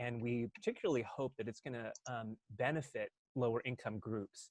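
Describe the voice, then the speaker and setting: The speaker is soft-spoken and talks at a moderate pace, with a dry, close sound and no echo. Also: man. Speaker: housing subcommittee member. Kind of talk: presentation. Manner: halting. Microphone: too quiet.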